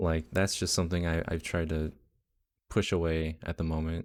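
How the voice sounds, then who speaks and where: Very deep and low in pitch, a man speaks in a monotone, flat intonation on a very clean recording with a silent background. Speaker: graphic designer streamer. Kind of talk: casual chat. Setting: live stream. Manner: low-energy.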